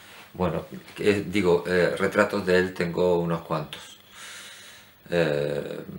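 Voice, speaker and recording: A man with a very deep, low pitch, very slow pace, monotone, flat intonation and long, frequent pauses, over noticeable background noise. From Andalusia, Spain. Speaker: painter. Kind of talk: casual talk to camera. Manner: hesitant.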